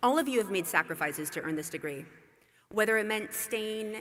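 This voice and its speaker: A bright, sharp tone at a moderate pace. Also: woman. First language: not English. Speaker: commencement speaker. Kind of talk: commencement speech. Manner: formal.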